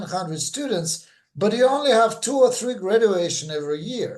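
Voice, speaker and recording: A man with a Russian accent talks at a moderate pace with ordinary pitch variation. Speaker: former church member. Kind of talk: interview testimony. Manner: halting.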